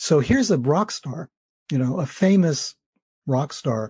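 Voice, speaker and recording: A man speaks in an American accent with a dark, mellow tone and a somewhat breathy quality. The sound is dry and close with no echo against a quiet background. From US, New York City. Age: old. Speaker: author. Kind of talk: interview.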